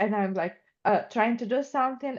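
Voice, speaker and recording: A woman in a Russian accent with ordinary pitch variation and a quiet background. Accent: Russian-sounding. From Ukraine. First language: Ukrainian or Russian. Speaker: student. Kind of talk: class discussion.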